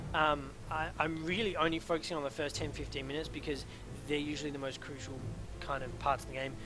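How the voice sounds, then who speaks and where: A man talking very fast, with audible echo from the room. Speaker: gaming coach. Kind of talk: replay coaching commentary. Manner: hesitant with fillers.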